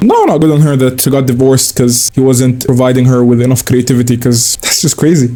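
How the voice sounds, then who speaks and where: With a non-native accent, a man speaks at a medium pitch and a fairly quick pace in an animated tone. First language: not English. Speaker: online commentator. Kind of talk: reaction commentary. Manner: casual, animated.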